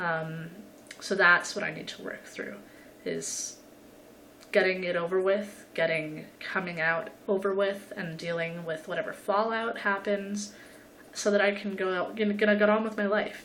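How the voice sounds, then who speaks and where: A woman's medium-pitched voice at a moderate pace, fairly even intonation, audible room echo and noticeable background noise. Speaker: vlogger. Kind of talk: personal video diary. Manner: halting, stuttering.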